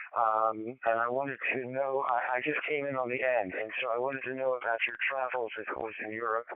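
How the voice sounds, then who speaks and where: The man's intonation is monotone and flat as he talks fairly quickly over noticeable background noise. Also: medium pitch for a man, hardly any pauses. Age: 80s+. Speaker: ham radio net participant. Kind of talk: radio net check-in chat. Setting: amateur radio digital voice net. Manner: halting.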